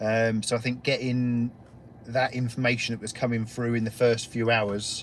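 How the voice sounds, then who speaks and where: A man with an English accent speaks at a medium pitch and moderate pace. His intonation is monotone and flat. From England. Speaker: guest paranormal investigator. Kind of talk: casual chat.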